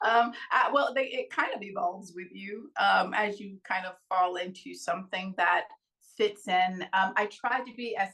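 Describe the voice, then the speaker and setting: A woman's bright, sharp voice at a medium pitch, with an American accent, ordinary pitch variation and a moderate pace. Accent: Texan accent changed by living abroad. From Texas. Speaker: actress. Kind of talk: interview.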